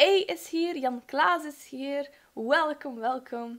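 Here a woman speaks against a quiet background. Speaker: study livestreamer. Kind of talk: casual livestream chat. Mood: cheerful, energetic. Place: home room. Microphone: studio mic.

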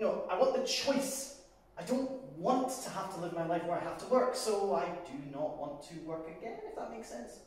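The speaker keeps a moderate pace. Strong room echo surrounds the voice. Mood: reflective, explaining personal choice. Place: bar.

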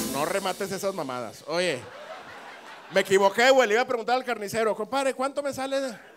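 A man's fairly quick speech over light background noise. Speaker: stand-up comedian. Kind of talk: crowd-work comedy banter. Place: stage. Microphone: handheld.

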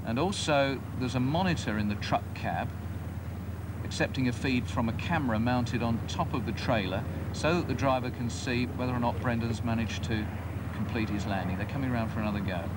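Loud background noise sits behind a man talking at a fairly quick pace. His pitch varies in an ordinary way. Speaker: TV air show commentator. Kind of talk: commentary. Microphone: old recording.

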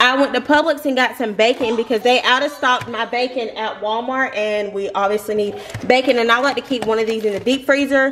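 A woman with an American accent talks at a fairly quick pace and a high pitch, with ordinary pitch variation, hardly any pauses, and light background noise. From US South. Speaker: lifestyle vlogger. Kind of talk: casual chat. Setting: at home. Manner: chatty. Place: kitchen. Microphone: phone near.

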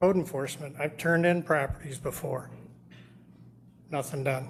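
A man's fairly high voice with vocal fry, fairly even intonation and a moderate pace. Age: 60s. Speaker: landlord, public commenter. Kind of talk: public comment at council meeting. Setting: city council meeting.

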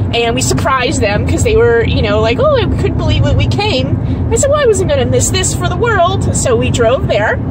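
A woman speaks in a dry recording with no echo, though loud background noise is present. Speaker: vlogger. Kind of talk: casual vlog chat. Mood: cheerful, chatty. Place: car. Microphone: phone near.

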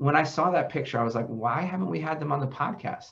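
Somewhat breathy, a man talks at a fairly quick pace. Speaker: podcast host. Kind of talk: interview introduction. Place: office. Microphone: headset.

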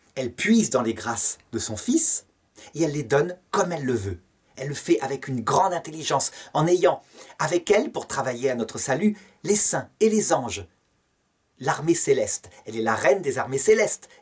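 A man speaks at a moderate pace, his fairly high voice swinging very widely in pitch. He leaves long, frequent pauses against a quiet background. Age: 50s. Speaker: theology teacher. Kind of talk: lecture. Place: home room. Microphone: webcam.

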